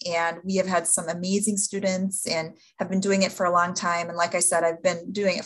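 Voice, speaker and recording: A woman's somewhat breathy, medium-pitched voice with an Upper Midwest US accent, at a moderate pace. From Upper Peninsula of Michigan. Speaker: event management instructor. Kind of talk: podcast interview.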